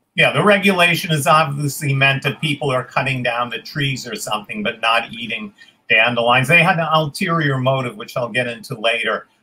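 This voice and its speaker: With a New York accent, a man speaks at a fairly quick pace in a fairly high pitch, his intonation lively. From New York City (Queens); New York City. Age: 70s. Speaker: forager, tour guide; tour guide. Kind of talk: interview. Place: home room.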